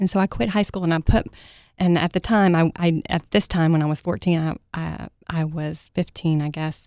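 A woman with an American accent speaks at a fairly low pitch and a moderate pace, with fairly even intonation, in a very clean recording with a silent background and a dry, close sound with no echo. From Texas, Mesquite near Dallas. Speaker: parenting coach. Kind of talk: interview. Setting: studio. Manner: soft-spoken.

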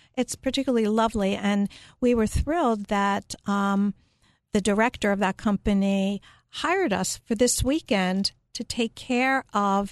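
Recorded dry and close with no echo against a quiet background, a woman with an American accent and an unremarkable speaking voice talks at a fairly slow pace with ordinary pitch variation. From Philadelphia, US. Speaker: psychotherapist and care management business owner. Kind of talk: radio interview. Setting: radio studio.

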